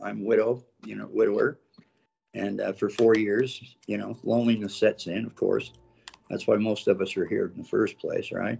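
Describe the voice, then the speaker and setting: At a moderate pace, the voice rises and falls a great deal in loudness. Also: man. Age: 60s. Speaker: romance scam victim. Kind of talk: interview testimony. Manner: halting.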